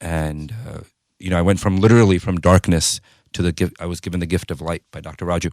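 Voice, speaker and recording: A man with an American accent speaks at a very fast pace in a very deep, low voice, his intonation fairly even. His loudness swings widely, and the sound is dry and close with no echo. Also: very clean recording, silent background. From US, New York City. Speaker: pharmacist and entrepreneur. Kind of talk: interview. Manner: casual, filler-heavy.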